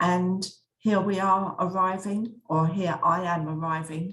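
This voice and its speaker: A woman speaks with an English accent and fairly even intonation. Music plays in the background. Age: 60s. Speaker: travel vlogger. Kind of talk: narrated slideshow travel talk. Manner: halting, with frequent self-corrections.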